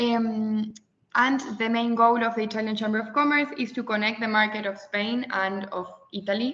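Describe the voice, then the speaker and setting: With an Argentine accent, a woman speaks at a moderate pace in a fairly high voice with fairly even intonation. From Argentina. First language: Spanish. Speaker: webinar participant presenting her organization. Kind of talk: webinar presentation. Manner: halting, with fillers.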